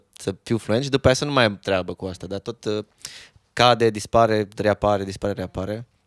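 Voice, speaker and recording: A man with an unremarkable speaking voice, a fairly low pitch, fairly even intonation, and a fairly quick pace, in a dry, close sound with no echo. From Romania, Reghin (Transylvania). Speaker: musician. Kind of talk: casual chat.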